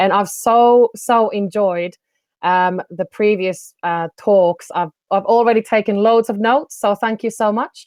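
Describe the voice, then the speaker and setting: Someone speaks with a Finnish accent at a fairly slow pace. The intonation stays fairly even. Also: woman, fairly high pitch for a woman. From Finland. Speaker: business development coach. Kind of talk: online presentation.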